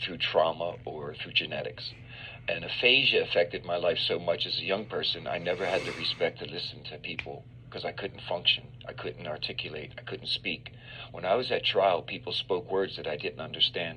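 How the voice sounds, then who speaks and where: A man at a moderate pace, with noticeable background noise around him. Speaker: exonerated former death row prisoner. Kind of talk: interview.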